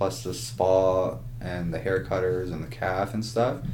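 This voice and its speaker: A man's somewhat breathy, dark and mellow voice with a Canadian accent, fairly even intonation and a fairly slow pace, with audible room echo. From Ontario, Canada. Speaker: podcast co-host. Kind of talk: casual chat.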